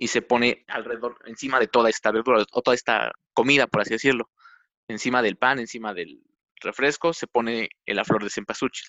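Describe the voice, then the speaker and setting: A man with a medium-pitched, plain, everyday voice speaks at a fairly quick pace with fairly even intonation. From Mexico, Tlaxcala. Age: 20s. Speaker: computer engineer and amateur photographer. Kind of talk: interview.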